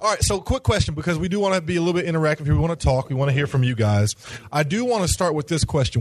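Somewhat breathy, a man speaks with lively intonation at a fairly high pitch. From Knoxville, Tennessee. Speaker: university director. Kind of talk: interactive conference workshop.

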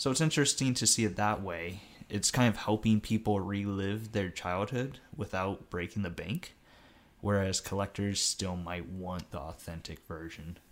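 Pitched fairly low, a man speaks in a plain, everyday voice with ordinary pitch variation. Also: moderate pace. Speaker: guest co-host, gamer. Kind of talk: casual chat.

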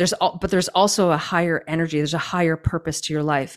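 With a Canadian accent, a woman speaks in a very deep, low voice and a flat monotone on a very clean recording with a silent background. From Canada. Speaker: trauma-informed movement coach. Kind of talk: interview conversation.

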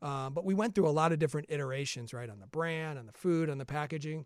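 In a very clean recording with a silent background, a man talks. His accent is American, and his pitch varies in an ordinary way. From Chicago area, US Midwest. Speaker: food startup co-founder. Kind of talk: interview. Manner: repeats words at times.

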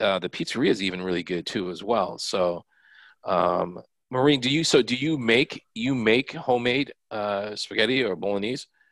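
An ordinary speaking voice with lively intonation moves at a moderate pace on a very clean recording with a silent background and a dry, close sound with no echo. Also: man, medium pitch for a man. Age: 40s. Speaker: college admissions staffer and co-host. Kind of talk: casual chat.

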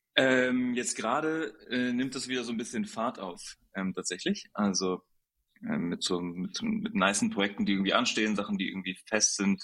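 Very wide pitch swings mark a man's speech at a moderate pace. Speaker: photographer. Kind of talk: casual chat.

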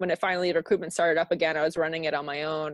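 The speaker has an American accent. The background is quiet, and the sound is dry and close with no echo. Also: woman. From US South, South Florida. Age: 30s. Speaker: meeting planner. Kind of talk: casual chat.

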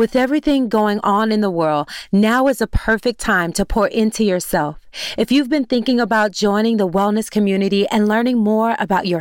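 Here is a woman with a normal speaking voice at a moderate pace. Her pitch is fairly high, with ordinary variation. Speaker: podcast host. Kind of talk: scripted intro and ad read.

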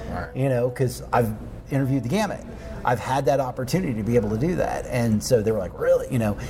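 A man with an American accent at a very fast pace, against noticeable background noise. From Oklahoma. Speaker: podcast host and journalist. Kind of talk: casual interview conversation. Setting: coffee shop.

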